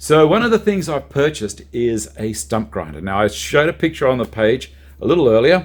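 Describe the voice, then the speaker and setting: With an Australian accent, the speaker moves at a moderate pace while the pitch swings very widely. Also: man. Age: 60s. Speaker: YouTuber, DIY homeowner. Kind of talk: casual vlog tutorial.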